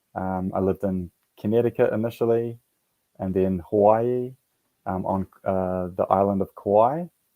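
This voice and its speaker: Delivered at a moderate pace in a New Zealand accent, the voice has a dark, mellow tone and fairly even intonation, with a dry, close sound and no echo. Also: man, fairly low pitch for a man. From New Zealand (Auckland). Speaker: military veteran, yoga and meditation teacher. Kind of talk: interview. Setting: radio show. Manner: halting, many fillers.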